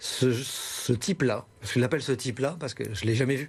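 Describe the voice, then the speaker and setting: A man with a northern French accent speaks at a fairly quick pace. His pitch is medium, with ordinary pitch variation. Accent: northern French accent, kept. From northern France, Lille. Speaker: humorist and radio columnist. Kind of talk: TV interview.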